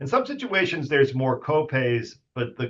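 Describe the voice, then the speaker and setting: A man at a moderate pace. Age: 50s. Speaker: radiation oncologist. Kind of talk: casual interview. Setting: podcast.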